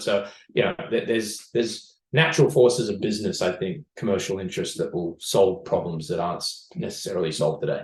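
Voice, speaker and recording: Rushing at a very fast pace with hardly any pauses, a man speaks in a fairly low, somewhat breathy voice. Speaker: startup CEO and co-founder. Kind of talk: podcast interview. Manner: many fillers and restarts.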